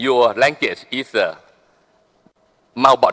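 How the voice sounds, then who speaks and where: In a Thai accent, a man speaks at a fairly slow pace and a medium pitch. The sound is dry and close, with no echo. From Thailand. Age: 60s. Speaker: business leader. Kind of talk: speech at a business forum.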